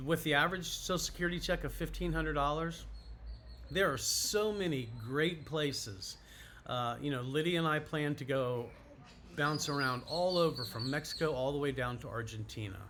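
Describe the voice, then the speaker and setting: At a moderate pace, a bright, sharp tone carries ordinary pitch variation amid audible room echo. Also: man, fairly high pitch for a man. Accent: American. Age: 60s. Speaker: YouTuber on retirement and moving abroad. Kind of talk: casual vlog monologue. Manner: casual with frequent fillers.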